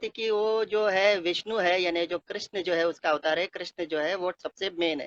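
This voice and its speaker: A man speaks at a high pitch and a moderate pace. The sound is dry and close, with no echo. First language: Konkani (speaking Hindi). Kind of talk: testimony. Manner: halting, many filler sounds.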